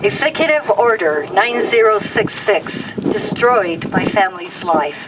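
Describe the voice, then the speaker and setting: Fairly slow, nearly pause-free speech in an American accent, with very even loudness, lively intonation and noticeable background noise. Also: woman, medium pitch for a woman. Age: 70s. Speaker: former camp incarceree speaker. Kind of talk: public speech, personal testimony.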